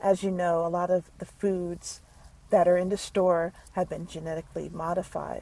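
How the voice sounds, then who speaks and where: A woman with an American accent speaks at medium pitch and a moderate pace, her dark, mellow tone heard in a dry, close sound with no echo. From United States. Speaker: health vlogger. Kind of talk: tutorial. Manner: halting, many fillers.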